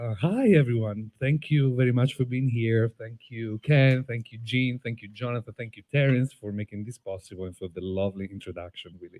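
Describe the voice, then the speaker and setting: A man with an Italian accent speaks at a fairly quick pace, medium in pitch with ordinary pitch variation and a dark, mellow tone. His loudness swings widely, and the sound is dry and close with no echo. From Italy, Tuscany (Prato). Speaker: playwright and filmmaker. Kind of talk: onstage interview. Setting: outdoor stage with audience.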